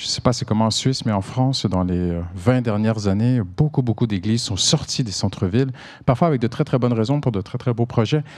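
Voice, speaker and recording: Delivered at a moderate pace, the voice shows ordinary pitch variation. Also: man. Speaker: pastor. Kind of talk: sermon. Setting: church service. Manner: animated.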